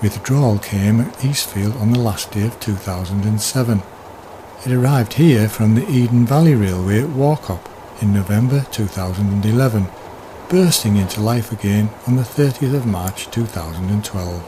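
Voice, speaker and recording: A man with a British accent talks at a moderate pace and a fairly low pitch, with ordinary pitch variation, against noticeable background noise. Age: 60s. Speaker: railway enthusiast. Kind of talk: scripted narration. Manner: formal.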